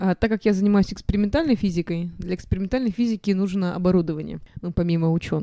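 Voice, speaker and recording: Very fast speech from a woman with a dark, mellow tone. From Russia. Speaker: physicist, PhD student. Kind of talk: interview. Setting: studio.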